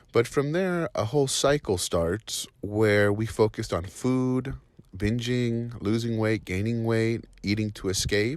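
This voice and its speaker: This man has a normal speaking voice with ordinary pitch variation. He talks at a fairly slow pace. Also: medium pitch for a man. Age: 40s. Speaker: client testimonial. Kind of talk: testimony.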